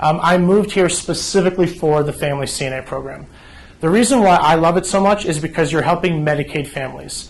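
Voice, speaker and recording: With an East Coast accent, a man talks very fast in a high voice with ordinary pitch variation against noticeable background noise. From New Jersey. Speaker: home care agency representative. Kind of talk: informational presentation.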